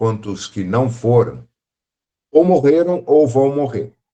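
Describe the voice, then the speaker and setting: With a dark, mellow tone and lively intonation, a man speaks at a fairly slow pace in a medium pitch. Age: 60s. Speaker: spiritist study group teacher. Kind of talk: lecture. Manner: conversational.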